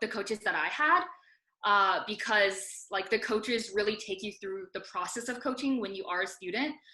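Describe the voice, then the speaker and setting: The speaker has a Mandarin accent and a bright, sharp tone. Pitch varies in an ordinary way over a quiet background. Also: woman. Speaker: debate coach. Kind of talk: seminar talk.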